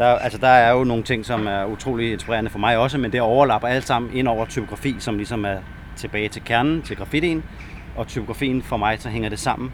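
A man at medium pitch, very fast pace and fairly even intonation, with noticeable background noise. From Denmark, Næstved. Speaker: graffiti writer. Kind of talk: casual interview.

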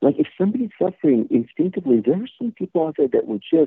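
Pitch swings very widely in this voice with an American accent. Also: man. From California, San Jose east side. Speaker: actor and martial artist. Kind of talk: interview. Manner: halting.

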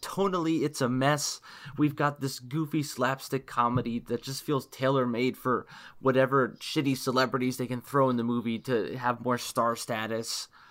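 Using a plain, everyday voice, a man speaks at a moderate pace and medium pitch with fairly even intonation. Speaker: podcast co-host. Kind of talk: casual chat.

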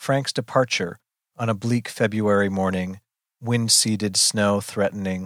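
Over a quiet background, the speaker uses an unforced reading voice with fairly even intonation.

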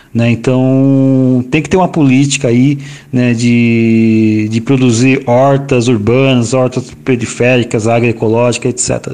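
A man's medium-pitched voice at a very slow pace, with hardly any pauses, fairly even intonation, very even loudness and noticeable background noise. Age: 40s. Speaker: environmental manager and geographer, urban garden project founder. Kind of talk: interview. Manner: halting, many fillers.

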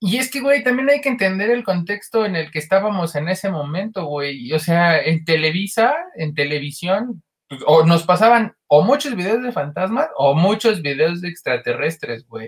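A man at a high pitch with a Mexican accent, very wide pitch swings, and a moderate pace. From State of Mexico. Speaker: podcast co-host. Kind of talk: casual chat.

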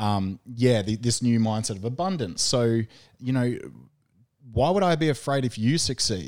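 In a plain, everyday voice, a man speaks at a medium pitch and moderate pace with lively intonation, on a very clean recording with a silent background. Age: 30s. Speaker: strength and conditioning coach. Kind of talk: casual chat. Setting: studio.

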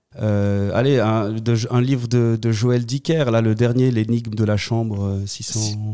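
Over noticeable background noise, a man with a medium-pitched voice talks at a very slow pace in a monotone, flat delivery, with very even loudness and hardly any pauses. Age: 30s. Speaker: political candidate. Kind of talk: interview.

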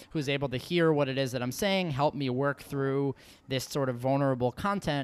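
A man with an American accent speaks in an ordinary speaking voice, pitched fairly high, with ordinary pitch variation. The recording is very clean, with a silent background. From New York. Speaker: podcast host and professor. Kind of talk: casual interview chat.

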